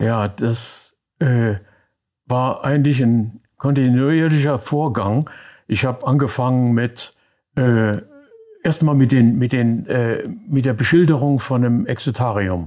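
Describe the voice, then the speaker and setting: A man speaks very slowly at a medium pitch with ordinary pitch variation, very even loudness, and long, frequent pauses. The recording is very clean, with a silent background. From Germany, Koblenz and Rhineland. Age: 80s+. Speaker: wildlife artist. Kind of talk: interview. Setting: at home. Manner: halting, many hesitations.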